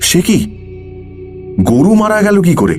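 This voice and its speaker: A man performs a put-on character voice at a high pitch. Clear music plays in the background. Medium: audio drama.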